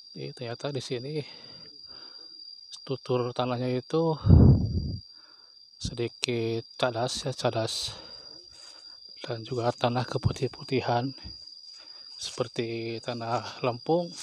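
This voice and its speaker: A soft-spoken man talks at a medium pitch and a very slow pace, with fairly even intonation. Long, frequent pauses break up his speech over noticeable background noise. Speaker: vlogger exploring abandoned village. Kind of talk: walking vlog narration. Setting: outdoors.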